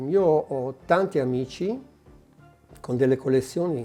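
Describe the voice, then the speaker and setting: A man's medium-pitched voice with ordinary pitch variation over music in the background. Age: 60s. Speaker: collector. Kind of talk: interview. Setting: private collection venue. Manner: halting.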